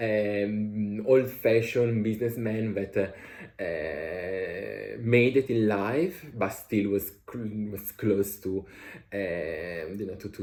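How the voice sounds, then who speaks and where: Somewhat breathy, a man speaks at a fairly low pitch. His intonation is fairly even. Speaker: author and vlogger. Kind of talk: casual vlog monologue. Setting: traveling, changing locations. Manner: halting, many fillers.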